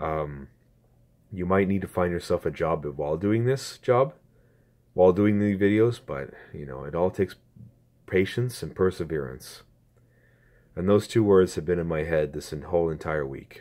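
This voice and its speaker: The voice has a dark, mellow tone, a moderate pace with long, frequent pauses, and ordinary pitch variation on a very clean recording with a silent background. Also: man, very deep, low pitch for a man. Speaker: YouTuber, gaming channel owner. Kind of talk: casual vlog.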